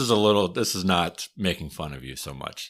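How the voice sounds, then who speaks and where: A man with a Wisconsin accent talks at a fairly slow pace with vocal fry. The recording is very clean, with a silent background. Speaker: podcast host, historian. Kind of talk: casual chat.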